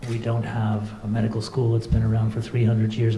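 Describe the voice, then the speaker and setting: A man with a Canadian accent, amid noticeable background noise and audible room echo. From Canada. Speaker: cardiologist and hospital director. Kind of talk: welcome speech. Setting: conference with audience.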